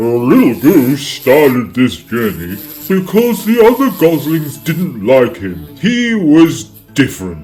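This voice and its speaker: A man uses a put-on character voice, fairly high for a man, with very wide pitch swings at a fairly slow pace. Faint music plays in the background. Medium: read story.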